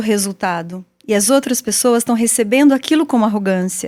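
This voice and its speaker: A woman's fairly quick speech with ordinary pitch variation. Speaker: podcast host. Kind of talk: interview. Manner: fast, firm.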